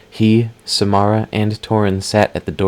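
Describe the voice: Someone does plain reading aloud here.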